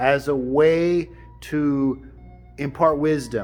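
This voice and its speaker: A man talks at a fairly high pitch. There is music in the background. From Alaska, Tsimshian. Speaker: storyteller and life coach. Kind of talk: storytelling to camera, wisdom talk.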